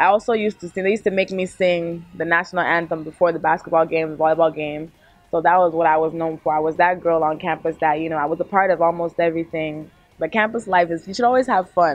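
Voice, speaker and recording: With music in the background, a woman with an American accent talks very fast at a fairly low pitch and with fairly even intonation. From Texas, US, of Nigerian parents. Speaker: singer. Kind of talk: interview.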